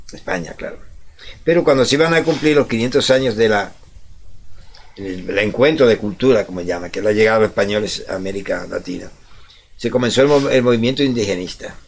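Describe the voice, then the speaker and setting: A man at medium pitch, lively in intonation, fairly quick in pace yet with long, frequent pauses. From Dominican Republic. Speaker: radio co-host. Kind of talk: casual chat.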